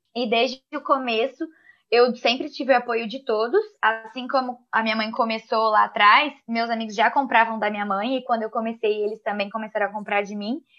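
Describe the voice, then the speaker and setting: This is a woman with an ordinary speaking voice and a fairly high pitch. She keeps a moderate pace and fairly even intonation. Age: 20s. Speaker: confectioner and small business owner. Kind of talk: casual chat.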